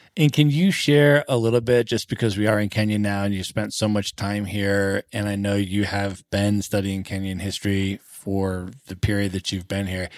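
In an American accent, a man with a fairly low, unremarkable speaking voice talks at a moderate pace with fairly even intonation and hardly any pauses on a very clean recording with a silent background. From United States. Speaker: podcast host. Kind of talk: podcast interview.

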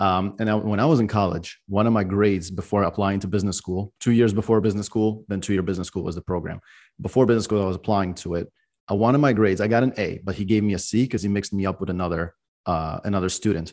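A man talks at a very fast pace and a fairly low pitch with fairly even intonation, over a quiet background. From Belarus and Israel. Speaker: CPA firm owner. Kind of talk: interview conversation. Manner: casual, conversational.

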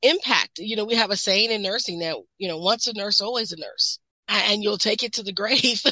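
This is a normal speaking voice with an American accent. The pace is fairly quick. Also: woman, fairly high pitch for a woman, ordinary pitch variation. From US Midwest. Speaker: nurse practitioner. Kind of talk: interview.

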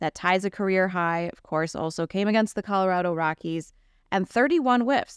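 Here is an ordinary speaking voice, a woman's with an American accent, at medium pitch and a moderate pace. The sound is dry and close with no echo, in a very clean recording with a silent background. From Wisconsin, Milwaukee area. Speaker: baseball podcast host. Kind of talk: casual chat.

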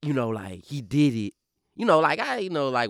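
A man in a Louisiana accent on a very clean recording with a silent background. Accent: Louisiana Southern drawl. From Baton Rouge, Louisiana. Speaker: rapper. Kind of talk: casual interview. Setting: studio.

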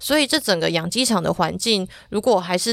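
On a very clean recording with a silent background, a woman speaks at a fairly quick pace with vocal fry and ordinary pitch variation. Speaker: agriculture reporter. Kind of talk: podcast interview.

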